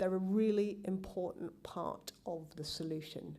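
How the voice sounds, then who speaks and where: Speaking at a fairly slow pace in a strong British accent, a woman of medium pitch has a dark, mellow tone and fairly even intonation, with audible room echo around her. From England. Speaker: genetics professor. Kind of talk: conference talk. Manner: hesitant, many ums.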